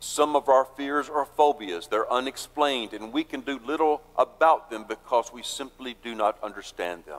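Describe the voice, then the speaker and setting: An unremarkable speaking voice from a man, medium in pitch and fairly slow, with a dry, close sound with no echo. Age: 60s. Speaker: pastor. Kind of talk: sermon.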